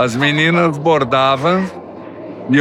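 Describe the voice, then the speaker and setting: Amid noticeable background noise and audible room echo, a man speaks very slowly in a fairly high pitch. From southern Brazil, Timbó (Santa Catarina). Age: 80s+. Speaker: church member giving testimony. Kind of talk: testimony.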